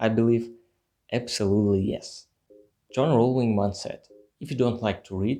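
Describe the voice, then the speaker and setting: Music plays in the background as a man with a non-native accent speaks. His pace is moderate and his intonation fairly even. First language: not English. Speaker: YouTuber, self-improvement. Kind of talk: scripted talk to camera.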